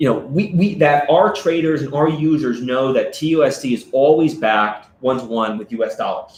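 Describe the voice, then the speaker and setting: Over noticeable background noise, a man with a fairly high pitch talks at a fairly quick pace with ordinary pitch variation and hardly any pauses. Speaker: stablecoin company representative. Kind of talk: live stream interview. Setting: live stream.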